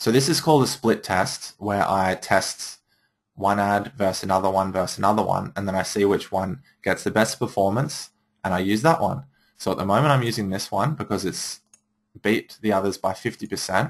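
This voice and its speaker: A man with an ordinary speaking voice, fairly low in pitch, fairly quick, with ordinary pitch variation, in a very clean recording with a silent background. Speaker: marketing trainer for photographers. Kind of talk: tutorial.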